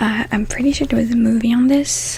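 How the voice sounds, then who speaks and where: A soft-spoken woman talks against noticeable background noise. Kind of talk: bedtime book summary reading.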